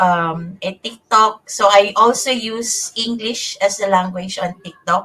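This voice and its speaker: Speaking in a Visayan Filipino accent, a woman keeps a fairly slow pace and fairly even intonation. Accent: Filipino (Cebuano) English. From Philippines, Cebuano-speaking region. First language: Cebuano. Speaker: online bookkeeper. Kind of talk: interview. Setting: live online broadcast. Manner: halting, many fillers.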